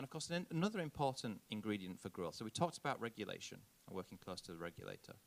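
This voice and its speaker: Very fast and with very wide pitch swings, a man speaks at a medium pitch in a Yorkshire accent. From northern England, Yorkshire. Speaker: diplomat, conference speaker. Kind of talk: conference keynote speech. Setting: conference stage with audience.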